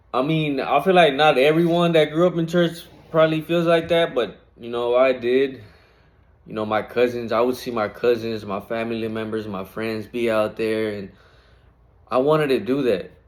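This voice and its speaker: A man's voice, pitched in the middle range, rises and falls in an ordinary way as he talks at a moderate speed. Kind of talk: casual faith talk to camera. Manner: halting, repeats words.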